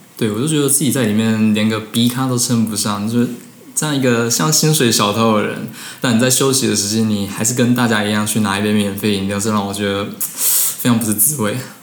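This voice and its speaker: A man talks at a fairly quick pace with medium pitch and fairly even intonation. Noticeable background noise and audible room echo are present. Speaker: former coffee shop part-timer, student in Japan. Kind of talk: casual interview. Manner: halting with fillers.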